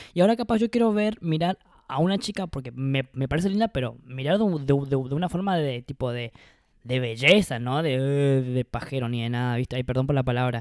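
A man talks at a medium pitch and a fairly quick pace. His intonation is lively, and the sound is dry and close with no echo. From Argentina, Misiones. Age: 30s. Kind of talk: casual chat. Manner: halting, repeated words.

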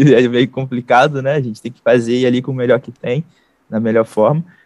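The sound is dry and close, without echo. A man talks at medium pitch in a monotone, flat way. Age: 20s. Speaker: digital marketing entrepreneur. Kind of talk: interview.

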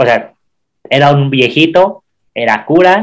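This man's voice sits fairly high and moves through ordinary pitch variation. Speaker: podcast co-host. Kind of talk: casual chat.

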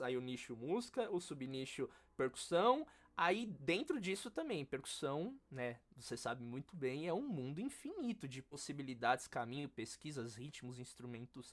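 A man speaks in a normal speaking voice at a moderate pace. His pitch is fairly high, and his intonation is lively. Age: 20s. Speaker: percussionist and music educator. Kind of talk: casual interview chat.

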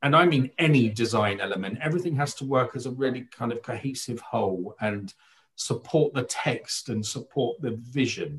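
A man with a medium-pitched, somewhat breathy voice speaks at a moderate pace with ordinary pitch variation. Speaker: theatre critic, writer and director. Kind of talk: casual panel discussion. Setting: video call.

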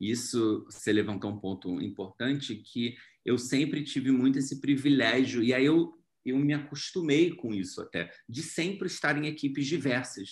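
A man with an ordinary speaking voice and a medium pitch moves at a fairly slow pace with lively intonation. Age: 30s. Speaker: actor and screenwriter. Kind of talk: interview.

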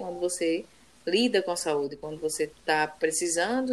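A woman speaks at a moderate pace with a fairly low pitch. It is a plain, everyday voice. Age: 30s. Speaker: podcast co-host. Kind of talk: casual chat.

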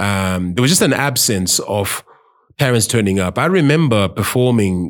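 Here a man speaks with a Zimbabwean accent at a moderate pace. The recording is very clean, with a silent background. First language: Shona. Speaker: podcast host. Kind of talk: casual chat.

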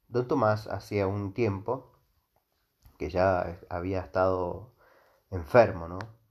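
A man's fairly low-pitched voice at a very slow pace. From Argentina, Mendoza. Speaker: history podcaster. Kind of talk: storytelling monologue. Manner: halting, many fillers and repetitions.

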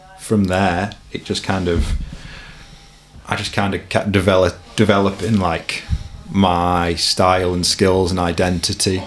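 Against noticeable background noise, a man with a very deep, low pitch speaks in a flat monotone at a fairly slow pace, with long, frequent pauses. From Warrington, northwest England. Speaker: mountain bike video maker. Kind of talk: casual interview chat.

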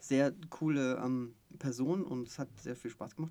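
At a very slow pace, a man speaks in a dark, mellow tone at medium pitch with ordinary pitch variation. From Stuttgart area, Swabia. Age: 30s. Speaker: podcast co-host, coach. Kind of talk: casual chat.

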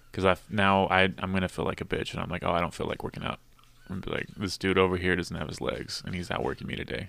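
Speaking very fast with an American accent, a man uses a very deep, low pitch, fairly even intonation and vocal fry. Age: 20s. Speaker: podcast host and comedian. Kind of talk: casual chat.

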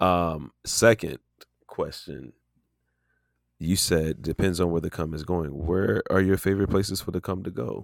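A man's very deep, low voice with vocal fry, ordinary pitch variation, big swings in loudness, and a moderate pace, in a dry, close, very clean recording with a silent background and no echo. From US South. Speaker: podcast host. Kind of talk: casual chat.

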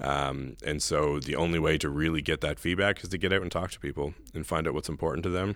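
Speaking at a very fast pace with hardly any pauses, a man uses a very deep, low pitch and vocal fry. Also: fairly even intonation. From New Brunswick, Canada. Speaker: town mayor. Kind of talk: interview.

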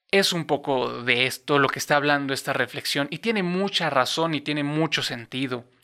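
Speaking at a moderate pace, a man with a Mexican accent has a fairly high pitch and ordinary pitch variation. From Mexico, Cuernavaca, Morelos. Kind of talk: devotional reflection monologue. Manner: hesitant, many fillers and repetitions.

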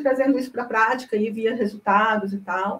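This woman speaks at a fairly high pitch and a fairly quick pace. Her voice is somewhat breathy. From Brazil, Goiânia (Goiás). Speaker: information science researcher and project management consultant. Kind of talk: interview.

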